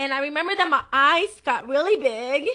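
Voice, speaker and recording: A woman uses a raised, projected voice that is high in pitch, with lively intonation and a bright, sharp tone. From Puerto Rico. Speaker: pastor. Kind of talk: testimony. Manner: halting, with many fillers.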